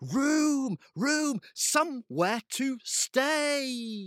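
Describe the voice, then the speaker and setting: The voice sits high in pitch. It is a put-on character voice. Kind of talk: terse, forced. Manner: through gritted teeth.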